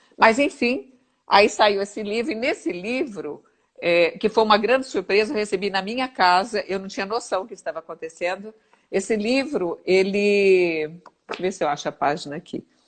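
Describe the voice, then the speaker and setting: Speaking at a moderate pace, a woman uses lively intonation and big swings in loudness. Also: medium pitch for a woman. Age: 60s. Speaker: physiotherapist. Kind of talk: interview. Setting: livestream. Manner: halting.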